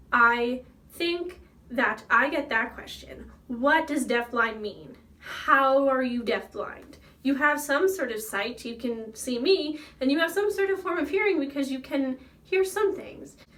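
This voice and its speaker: A woman with an American accent, high-pitched and raised, projected in voice, animated in tone, with lively intonation and a fairly slow pace. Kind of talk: casual vlog monologue.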